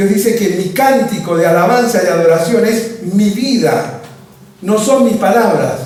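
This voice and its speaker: Over noticeable background noise and audible room echo, a high-pitched man speaks at a fairly slow pace with ordinary pitch variation. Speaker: pastor. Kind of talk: sermon.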